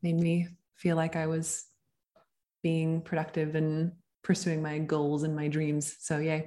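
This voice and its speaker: A woman's very deep, low-pitched, dark, mellow voice in a monotone, flat delivery at a fairly slow pace with long, frequent pauses. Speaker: actor. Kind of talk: casual interview chat. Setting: video call.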